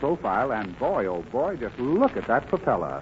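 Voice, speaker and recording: With noticeable background noise around him, a man speaks with lively intonation. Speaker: guest star actor. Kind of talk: radio comedy sketch. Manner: prim, fussy, flustered, comedic.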